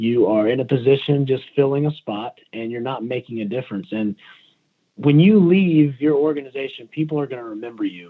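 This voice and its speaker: A man in a normal speaking voice with an American accent, at medium pitch and a fairly quick pace, with ordinary pitch variation. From US South, South Carolina. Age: 40s. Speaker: fire battalion chief. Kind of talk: podcast interview. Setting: phone call.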